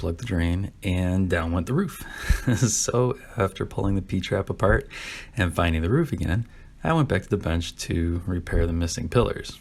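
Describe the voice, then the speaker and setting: A man speaks with a very deep, low pitch and a somewhat breathy sound. His pace is moderate, with ordinary pitch variation. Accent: American. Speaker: diecast car customizer. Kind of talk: casual hobby build narration.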